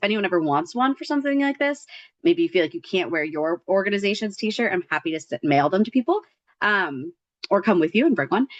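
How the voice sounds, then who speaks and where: This woman talks at a very fast pace in a medium pitch, her voice leaping through very wide pitch swings, with a dry, close sound that has no echo. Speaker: nonprofit advocacy organizer. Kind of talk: presentation.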